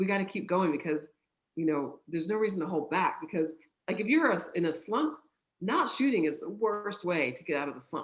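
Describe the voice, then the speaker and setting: A woman at medium pitch with very wide pitch swings, at a fairly quick pace. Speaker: mental performance coach. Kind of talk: interview. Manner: fast.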